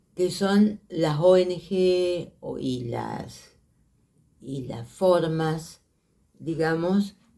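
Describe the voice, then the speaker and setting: In an Argentine accent, a woman with a dark, mellow tone and fairly low pitch talks at a very slow pace, with ordinary pitch variation and big swings in loudness. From Argentina, Santa Fe province. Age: 80s+. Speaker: filmmaker and teacher. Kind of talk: interview testimony. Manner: halting.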